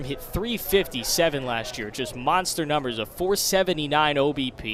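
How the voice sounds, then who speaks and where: A man's fairly high voice with lively intonation at a moderate pace, plus noticeable background noise. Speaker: baseball play-by-play announcer. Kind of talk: television baseball play-by-play broadcast.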